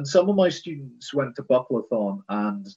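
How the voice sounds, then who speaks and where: A man speaks with very wide pitch swings. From Britain. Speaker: podcast host and sword fighting instructor. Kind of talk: casual interview chat. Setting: video call.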